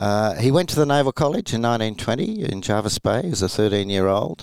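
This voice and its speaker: On a very clean recording with a silent background, a man speaks in an Australian accent. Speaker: retired rear admiral. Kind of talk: interview, historical account.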